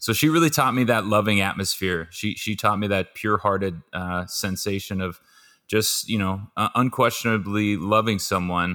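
The voice has a bright, sharp tone and an American accent. It moves at a moderate pace with ordinary pitch variation. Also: man, fairly low pitch for a man. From Southern California. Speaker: former pro football player and financial planner. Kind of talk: interview.

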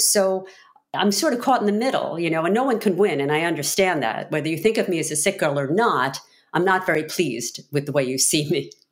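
A woman speaks in a normal speaking voice with an American accent and a fairly low pitch. Her intonation is lively and her pace fairly quick. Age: 50s. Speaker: attorney and author, heart transplant patient. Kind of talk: interview.

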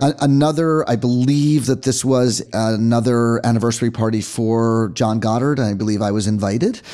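A man talks at a moderate pace with hardly any pauses, in a dark, mellow tone at medium pitch. His intonation is fairly even and his loudness very even. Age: 60s. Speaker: rock and roll photographer. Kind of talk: casual interview. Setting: at his home.

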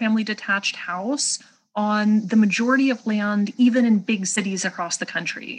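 A woman talks at a fairly quick pace in an ordinary speaking voice. Her pitch varies an ordinary amount. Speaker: economist. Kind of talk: interview.

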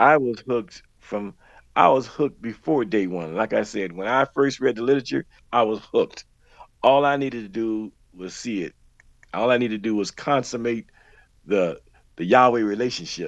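In an American accent, the speaker uses an ordinary speaking voice. The pace is moderate, with ordinary pitch variation. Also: man, medium pitch for a man. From Miami, Florida. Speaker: former religious group member. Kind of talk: interview testimony.

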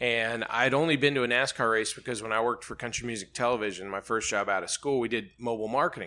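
In a very clean recording with a silent background, a man of medium pitch talks very fast with fairly even intonation and a bright, sharp tone. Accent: Southern US. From Alabama, Birmingham. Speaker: TV sports features reporter. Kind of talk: casual interview chat. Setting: office trailer at the race track.

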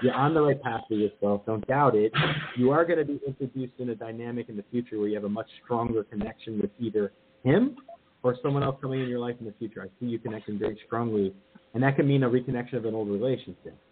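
A man's medium-pitched voice at a very fast pace, with ordinary pitch variation and noticeable background noise. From New Jersey. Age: 40s. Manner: fast talker.

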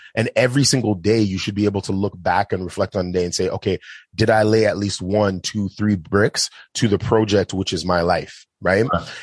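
A dry, close sound with no echo, a man's fairly low pitch and fairly even intonation, a fairly quick pace, and an unremarkable speaking voice. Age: 30s. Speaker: film director. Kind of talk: casual chat.

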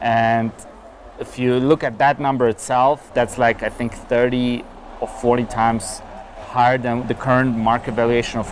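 Against noticeable background noise, the voice keeps a monotone, flat intonation at a moderate pace. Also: man. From Germany (Berlin). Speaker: crypto startup founder. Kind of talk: interview. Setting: outdoors, walking.

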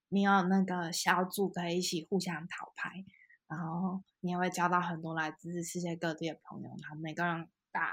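A woman with a plain, everyday voice speaks at a fairly low pitch and moderate pace with fairly even intonation, on a very clean recording with a silent background. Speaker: UX designer. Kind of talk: interview.

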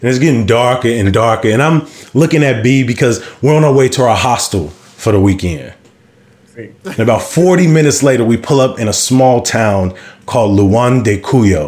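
An animated tone with lively intonation at a moderate pace. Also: man, medium pitch for a man. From Chicago South Side. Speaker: storyteller. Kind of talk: live storytelling.

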